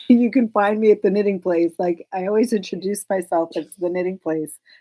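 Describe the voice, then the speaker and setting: A woman talks at a fairly quick clip with a dark, mellow tone. The sound is dry and close, with no echo. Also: medium pitch for a woman, fairly even intonation. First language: Hebrew. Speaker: knitting shop owner and podcast host. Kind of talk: casual chat.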